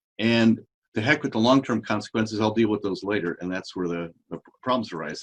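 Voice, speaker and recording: Speaking at a fairly quick pace, this is a normal speaking voice with lively intonation. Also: man. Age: 60s. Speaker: regenerative medicine doctor. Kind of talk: interview.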